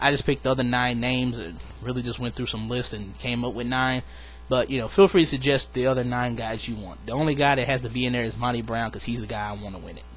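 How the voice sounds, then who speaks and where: Music plays in the background while a man speaks at a very fast pace. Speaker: wrestling fantasy booking vlogger. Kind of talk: casual solo video monologue. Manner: casual, hesitant fillers.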